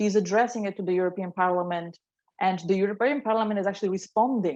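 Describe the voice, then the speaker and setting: A woman talks at a very fast pace. She has a Polish accent. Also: medium pitch for a woman, ordinary pitch variation. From Poland. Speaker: employee panelist. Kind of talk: panel discussion.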